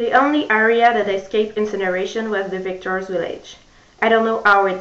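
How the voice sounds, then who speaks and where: A woman in a French accent talks at a fairly slow pace and a fairly high pitch, with fairly even intonation. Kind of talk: book reading.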